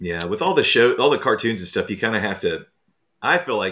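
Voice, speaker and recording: A man is speaking. His pace is very fast. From US South, moved around (born in Texas). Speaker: author. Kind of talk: casual interview. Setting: remote call.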